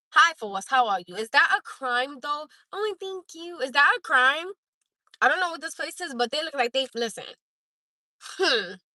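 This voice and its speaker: With an American accent, a woman speaks in a raised, projected voice, high-pitched, bright and sharp, her pitch swinging very widely and her loudness varying greatly. Her animated delivery moves at a moderate pace with long, frequent pauses, the sound dry and close, without echo. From Newark, New Jersey. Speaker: live streamer. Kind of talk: casual chat.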